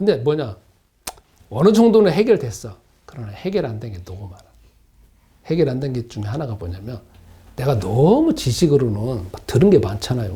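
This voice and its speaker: With long, frequent pauses, a man at medium pitch speaks at a moderate pace, showing very wide pitch swings and big swings in loudness, in audible room echo. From South Korea, Gunsan (North Jeolla). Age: 60s. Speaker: pastor. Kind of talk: sermon. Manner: conversational, repetitive.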